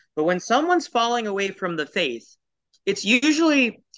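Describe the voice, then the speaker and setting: In a West Coast US accent, a man with a bright, sharp tone makes very wide pitch swings against a quiet background. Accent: General American, West Coast. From US Pacific Northwest, Portland, Oregon. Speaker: entrepreneur. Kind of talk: interview.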